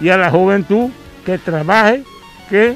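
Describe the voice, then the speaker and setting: A man's high-pitched voice with ordinary pitch variation, dry with no echo, over faint background music. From Cuba, Santiago de Cuba province. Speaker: farmer. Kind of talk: interview answer. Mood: proud, earnest. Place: garden. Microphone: handheld.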